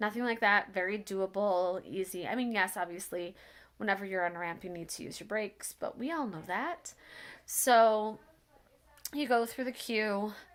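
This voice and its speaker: A woman mumbles at a moderate pace, her medium-pitched voice showing ordinary pitch variation. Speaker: accessibility travel vlogger. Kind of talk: casual review chat. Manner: mumbling.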